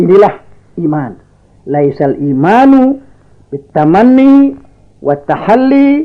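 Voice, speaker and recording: The speech moves at a very slow pace with very wide swings in pitch. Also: man. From Jakarta, Indonesia. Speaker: Islamic cleric, preacher. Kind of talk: religious sermon. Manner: calm, soothing.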